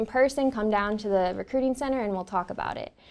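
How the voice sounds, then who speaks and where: The speaker has a Californian accent and fairly even intonation at a fairly quick pace. The recording is very clean with a silent background. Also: woman. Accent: Californian American. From Northern California. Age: 20s. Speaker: army officer. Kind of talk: interview. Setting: studio.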